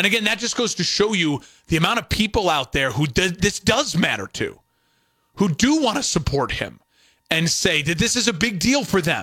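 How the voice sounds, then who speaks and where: A man's raised, projected voice, high in pitch and bright, sharp in tone, with very wide pitch swings. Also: moderate pace. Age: 30s. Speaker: radio sports talk host. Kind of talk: solo sports talk radio monologue.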